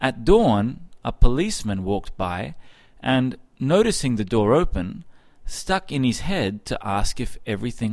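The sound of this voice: What you hear is an unforced reading voice.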